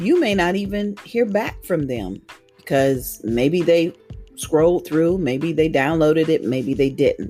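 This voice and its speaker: A woman with a fairly low pitch at a fairly slow pace, with music in the background. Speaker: audiobook narrator and evangelist. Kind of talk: interview answer.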